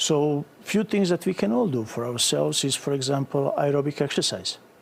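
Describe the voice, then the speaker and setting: A man's fairly high voice with a Bosnian accent, over noticeable background noise. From Bosnia and Herzegovina. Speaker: psychiatrist. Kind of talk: TV interview answer.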